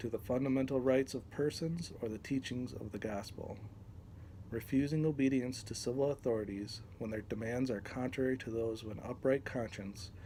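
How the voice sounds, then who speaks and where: Somewhat breathy, a man speaks at a moderate pace and medium pitch. His tone is dark and mellow, with ordinary pitch variation. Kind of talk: reading aloud from a text. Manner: hesitant, many fillers.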